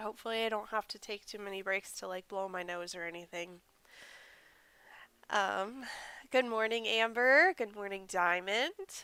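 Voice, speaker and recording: A woman with a bright, sharp tone and a medium pitch speaks at a moderate pace with ordinary pitch variation, big swings in loudness, and long, frequent pauses, on a very clean recording with a silent background. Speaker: crochet content creator. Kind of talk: casual livestream chat while crafting. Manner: relaxed, filler-heavy.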